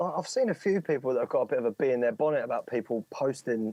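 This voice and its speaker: The voice has a dark, mellow tone and moves at a fairly quick pace. The sound is dry and close, with no echo. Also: man. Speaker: drum and bass producer and DJ. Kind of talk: casual chat. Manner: repetitive, stammering restarts.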